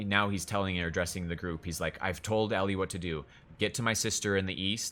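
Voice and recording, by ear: The intonation is fairly even. This is reading aloud in a natural voice.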